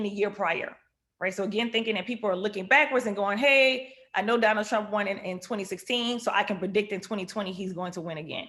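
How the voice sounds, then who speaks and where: A woman talks very fast in an animated tone, with a New Orleans accent. Her bright, sharp voice sits at medium pitch with ordinary pitch variation. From Louisiana, New Orleans. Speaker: economist. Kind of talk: lecture.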